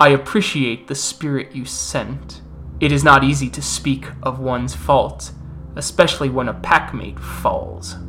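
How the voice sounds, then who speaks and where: A gruff put-on character voice from a man at a moderate pace, with clear music in the background. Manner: level, measured.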